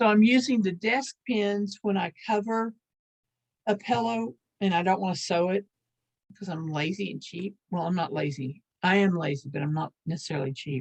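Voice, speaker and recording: A woman speaks with an American accent at a moderate pace. Her voice is somewhat breathy, at a medium pitch. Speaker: lace-making teacher. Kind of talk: online class tutorial. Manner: casual, hesitant with fillers.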